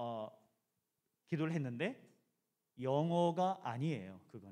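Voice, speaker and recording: Dark and mellow in tone, a man speaks at a fairly slow pace with very wide pitch swings. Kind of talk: lecture to students. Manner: casual, many fillers.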